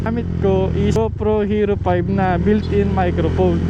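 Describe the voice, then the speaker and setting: A man's fairly low-pitched voice with ordinary pitch variation, plus audible room echo and noticeable background noise. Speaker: motorcycle vlogger. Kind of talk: casual vlog talk.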